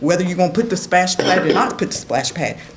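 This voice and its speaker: A woman with an American accent speaks at medium pitch in an animated tone. The room echo is audible, and background noise is noticeable. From southwest Virginia. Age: 60s. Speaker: resident speaking at public comment. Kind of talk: public comment at town council meeting. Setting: council chamber public meeting.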